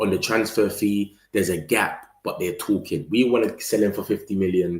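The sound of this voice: A man talks at a low pitch with a slightly mellow tone, and the room echo is audible.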